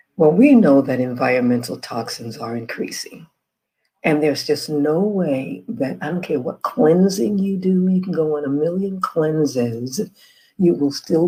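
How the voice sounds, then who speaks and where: Soft-spoken, a woman talks at a fairly slow pace. Her pitch is very deep and low, yet it swings very widely. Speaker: health and wellness educator. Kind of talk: informational presentation. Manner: soft-spoken, keeping voice low.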